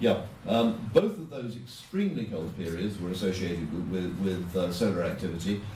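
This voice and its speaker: This man, with an English accent, has a very deep, low pitch and a somewhat breathy sound. Room echo is audible. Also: ordinary pitch variation, moderate pace. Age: 70s. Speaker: politician. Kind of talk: speech.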